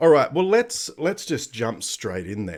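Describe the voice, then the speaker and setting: A man with an Australian accent talks at a fairly slow pace. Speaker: software developer live streamer. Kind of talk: live coding stream tutorial. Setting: live stream from home at night. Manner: casual, lots of fillers.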